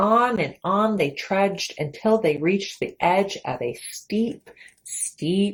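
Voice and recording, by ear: A natural voice reads aloud, its pitch varying in an ordinary way. Behind it, the background is quiet.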